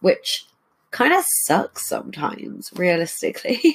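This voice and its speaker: Speaking with an English accent, this voice moves at a fairly slow pace. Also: woman. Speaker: podcast host. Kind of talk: casual chat.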